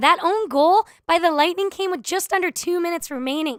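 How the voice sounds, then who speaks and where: Captured very cleanly with total silence behind her, the woman's speech moves along at a moderate speed. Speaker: radio sports anchor. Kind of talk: roundtable sports discussion mix.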